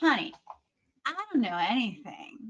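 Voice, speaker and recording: Raised and projected, a woman's high voice rings out with a bright, sharp tone. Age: 50s. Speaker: podcast host and marketing agency owner. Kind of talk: casual interview chat.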